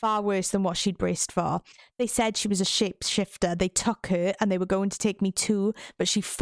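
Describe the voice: The reading aloud is plain, and its intonation stays fairly even.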